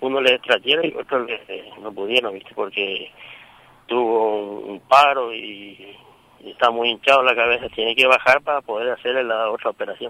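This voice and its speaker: At a moderate pace, a man holds a medium pitch with fairly even intonation while his loudness swings widely. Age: 50s. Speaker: father of a wounded police officer. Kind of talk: phone interview. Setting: phone call from airport. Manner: halting.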